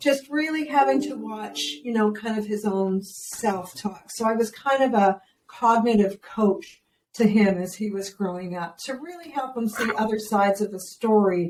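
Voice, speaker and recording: An ordinary speaking voice from a woman, fairly high in pitch, with lively intonation at a moderate pace. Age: 60s. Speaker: parenting educator. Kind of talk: interview. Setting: podcast.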